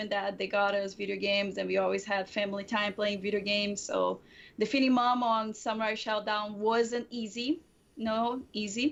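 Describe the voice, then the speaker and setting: Against a quiet background, a woman with a Portuguese accent speaks at a moderate pace, her fairly high pitch carrying fairly even intonation. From Brazil. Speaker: streamer. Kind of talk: casual chat.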